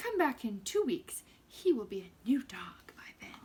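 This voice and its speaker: A woman puts on a character voice at a high pitch. She moves through very wide pitch swings at a moderate pace. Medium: read story. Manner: haughty, assured.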